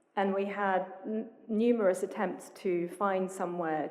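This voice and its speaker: A woman talks at a very slow pace. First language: English (speaking Spanish). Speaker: museum curator. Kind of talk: panel talk with consecutive interpretation. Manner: halting with fillers.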